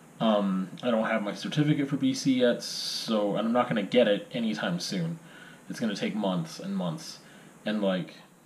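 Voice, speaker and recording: A man at a medium pitch with lively intonation and a moderate pace, against noticeable background noise. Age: 30s. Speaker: aspiring teacher and video blogger. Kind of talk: casual monologue. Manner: halting.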